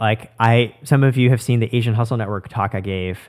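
A man with a normal speaking voice and a medium pitch talks fairly quickly, his pitch varying in an ordinary way, on a very clean recording with a silent background. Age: 30s. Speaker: startup co-founder and podcast host. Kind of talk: casual conversation.

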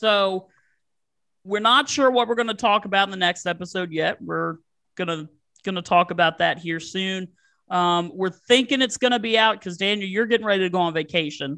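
With an American accent, a man projects a raised, bright, sharp voice at a high pitch, using ordinary pitch variation at a moderate pace against a quiet background. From Virginia. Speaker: sports podcast host. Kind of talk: casual chat.

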